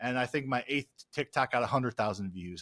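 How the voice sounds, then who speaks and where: A man with an American accent speaks in a bright, sharp tone. The sound is dry and close with no echo, in a very clean recording over a silent background. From US Midwest. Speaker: real estate investor and social media educator. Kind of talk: podcast interview. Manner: fast.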